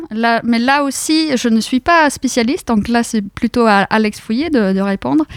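A woman's voice, pitched fairly high, comes through dry and close with no echo at all. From central Norway. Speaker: university lecturer and researcher in linguistics. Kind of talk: radio interview.

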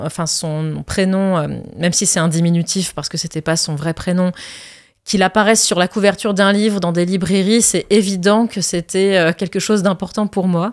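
A woman speaks at a moderate pace and medium pitch. Her intonation is fairly even, and the recording is very clean with a silent background. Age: 30s. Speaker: actress and singer. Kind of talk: interview. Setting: studio. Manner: hesitant.

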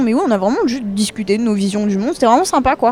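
A woman talks very fast in a fairly high voice with lively intonation. Noticeable background noise runs underneath. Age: young. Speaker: student association member. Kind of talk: interview. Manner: casual.

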